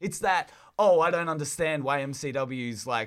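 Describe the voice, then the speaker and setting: A man with an Australian accent and a fairly high pitch. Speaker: professional wrestler. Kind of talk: casual chat.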